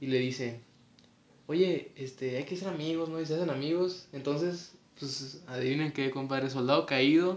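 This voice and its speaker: A man speaks in a Mexican accent with a fairly high pitch. His pitch variation is ordinary. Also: moderate pace. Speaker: podcast co-host. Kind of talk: casual chat.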